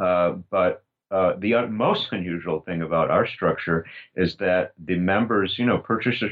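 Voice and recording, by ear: With ordinary pitch variation, a man speaks at a moderate pace in a low-pitched voice.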